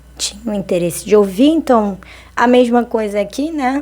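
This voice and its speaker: Noticeable background noise runs through the clip. Over it, a woman talks, her pitch varying in an ordinary way. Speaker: vlogger. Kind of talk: casual monologue vlog. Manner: conversational, hesitant with fillers.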